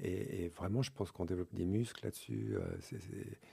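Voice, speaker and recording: With a very deep, low pitch and a dark, mellow tone, a man speaks somewhat breathily with ordinary pitch variation. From Switzerland. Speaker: author and couples workshop leader. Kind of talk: radio interview. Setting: radio studio. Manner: halting, with many fillers.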